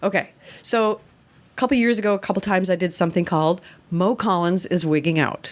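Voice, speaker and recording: On a very clean recording with a silent background, a woman with an American accent speaks at a fairly low pitch. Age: 60s. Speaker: actor and comedian. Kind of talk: casual chat. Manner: animated.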